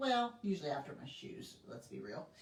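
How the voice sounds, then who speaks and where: Over noticeable background noise comes a woman's voice at a middle pitch. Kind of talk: live sales stream. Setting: livestream at home. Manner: casual, chatty.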